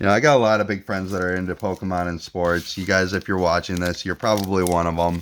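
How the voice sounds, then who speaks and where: Against noticeable background noise, a man talks in a relaxed tone with a very deep, low pitch and fairly even intonation. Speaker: card pack opening youtuber. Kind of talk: casual chat while opening card packs. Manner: relaxed, hesitant with repeated words.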